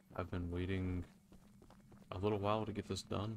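A man speaks quietly in a very deep, low voice at a fairly quick pace. His pitch rises and falls in an ordinary way. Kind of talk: casual gaming commentary.

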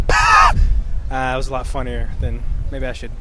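A man's voice comes through dry, with no echo, over loud background noise. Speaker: street interviewer. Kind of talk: casual talk to camera. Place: street. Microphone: handheld.

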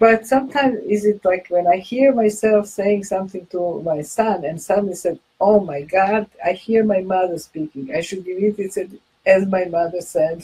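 Somewhat breathy, a woman's voice has a dark, mellow tone. She uses a medium pitch with ordinary pitch variation. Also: moderate pace. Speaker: co-host. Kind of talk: live video discussion. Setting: video call. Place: office. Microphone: webcam.

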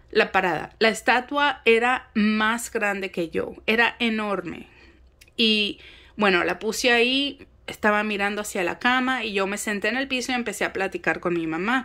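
A woman talks at a moderate pace with a bright, sharp tone and fairly high pitch over a quiet background. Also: ordinary pitch variation. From Mexico City. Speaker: spiritual content creator. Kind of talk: casual monologue vlog. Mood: calm, reflective. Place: home room. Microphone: phone near.

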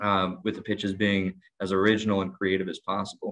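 With monotone, flat intonation and a fairly low pitch, a man talks at a fairly quick pace over a quiet background. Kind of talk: interview answer. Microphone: video call.

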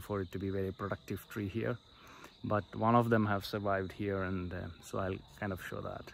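A man with a fairly low voice at a moderate pace, monotone and flat in intonation, in a dry sound with no echo and light background noise. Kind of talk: casual vlog chat. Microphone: phone near.

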